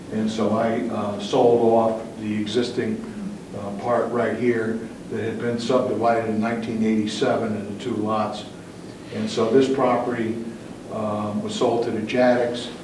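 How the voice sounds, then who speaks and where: The speaker talks at a moderate pace with monotone, flat intonation and an American accent. Noticeable background noise and audible room echo fill the recording. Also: man, medium pitch for a man. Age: 70s. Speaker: property owner addressing planning commission. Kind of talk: public testimony at town meeting. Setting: town planning commission meeting. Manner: halting, many fillers.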